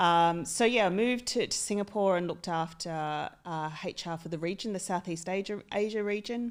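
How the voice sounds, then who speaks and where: In an Australian accent, a woman talks at a moderate pace and medium pitch with ordinary pitch variation and hardly any pauses. The recording is very clean, with a silent background. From Australia, country town. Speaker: HR executive. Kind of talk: podcast interview. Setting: studio.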